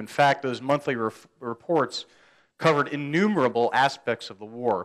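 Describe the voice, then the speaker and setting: A man with an American accent at a fairly quick pace, with ordinary pitch variation and a quiet background. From United States. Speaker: army officer and historian. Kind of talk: lecture. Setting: stage with audience. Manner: halting, many fillers and repetitions. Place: meeting room. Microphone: podium.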